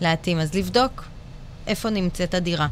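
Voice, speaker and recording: A woman speaks in a normal speaking voice, fairly low in pitch, at a moderate pace. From Israel, Bat Yam. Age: 40s. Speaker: architect and interior designer. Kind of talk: casual chat.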